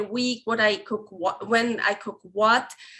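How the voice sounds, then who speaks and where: A woman with a non-native accent speaks at a fairly high pitch with ordinary pitch variation. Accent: foreign. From Switzerland. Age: 30s. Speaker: carnivore recipe developer. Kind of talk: podcast interview. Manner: halting, many restarts and fillers.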